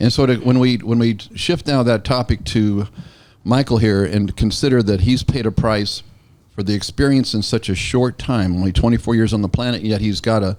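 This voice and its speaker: Here a man speaks in a normal speaking voice with ordinary pitch variation. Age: 60s. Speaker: real estate broker and show host. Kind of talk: casual interview.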